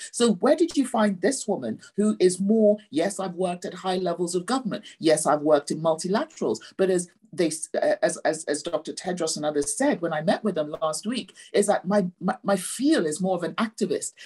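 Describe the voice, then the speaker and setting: Over a quiet background, a woman with a dark, mellow, somewhat breathy tone speaks at a moderate pace with lively intonation. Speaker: health envoy; panelist. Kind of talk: panel discussion. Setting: video call. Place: home room. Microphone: webcam.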